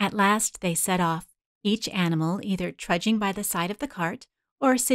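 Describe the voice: The voice is read aloud plainly, its pitch varying in an ordinary way against a quiet background.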